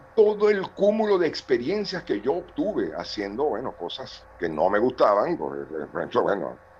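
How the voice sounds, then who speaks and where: Noticeable background noise sits behind a man talking at a moderate pace. His loudness swings widely. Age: 60s. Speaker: television director and university lecturer. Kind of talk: participant comment in online seminar.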